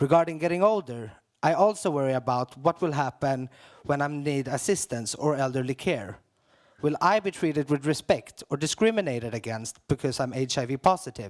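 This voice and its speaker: An ordinary speaking voice moves at a fairly quick pace with lively intonation, the sound dry and close with no echo. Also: man, fairly high pitch for a man. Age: 20s. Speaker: HIV activist. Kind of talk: prepared speech at conference opening.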